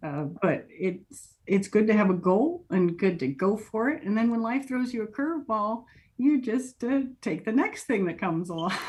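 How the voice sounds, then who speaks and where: A woman speaks at a moderate pace with hardly any pauses, her voice somewhat breathy and fairly high, moving in very wide pitch swings. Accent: American. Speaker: interviewee, college-educated professional. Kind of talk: interview. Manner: casual, chatty with fillers.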